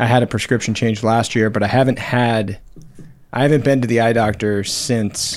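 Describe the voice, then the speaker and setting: A normal speaking voice at a fairly slow pace, with fairly even intonation. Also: man. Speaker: podcast host. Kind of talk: casual banter.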